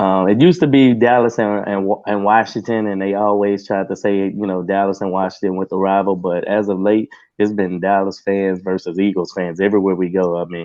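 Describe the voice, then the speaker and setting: The speech comes in an American accent at a fairly quick pace. There are hardly any pauses. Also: man, fairly low pitch for a man. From Texas. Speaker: Cowboys fan, Q&A guest. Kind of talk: casual sports chat. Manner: halting.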